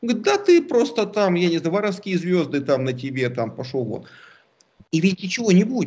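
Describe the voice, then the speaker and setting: A man's high-pitched voice with very wide pitch swings at a fairly quick pace. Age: 40s. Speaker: political analyst. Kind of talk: casual chat.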